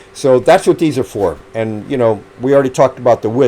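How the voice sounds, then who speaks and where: A man speaks at a very fast pace with lively intonation. Noticeable background noise is present. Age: 70s. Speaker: amateur runner and YouTuber. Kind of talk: casual show-and-tell video. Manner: conversational, hesitant with fillers.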